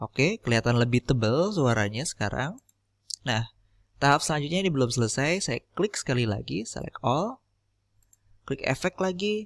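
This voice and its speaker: A man speaks at a fairly high pitch and a moderate pace, with very wide pitch swings. The recording is very clean with a silent background, and the sound is dry and close with no echo. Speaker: podcaster teaching audio editing. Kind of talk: tutorial.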